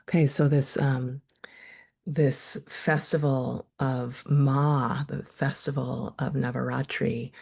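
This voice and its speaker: With vocal fry and a very deep, low voice, a woman speaks at a very slow pace. Her intonation is fairly even. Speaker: meditation teacher and therapist. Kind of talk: online workshop teaching. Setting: video call. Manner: casual, hesitant with self-corrections.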